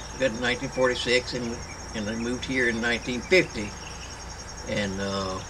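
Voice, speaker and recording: A man with a North Carolina accent, medium pitch, fairly even intonation, long and frequent pauses, and noticeable background noise. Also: fairly quick pace. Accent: US Southern (North Carolina). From North Carolina, Rowan County. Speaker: retired firefighter. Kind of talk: oral history interview. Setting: at home. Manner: halting, repetitive.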